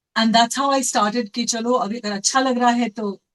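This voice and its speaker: A woman speaks in a normal speaking voice at a fairly high pitch and moderate pace. Her intonation is fairly even, and the sound is dry and close with no echo. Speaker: voice actor. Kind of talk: interview answer.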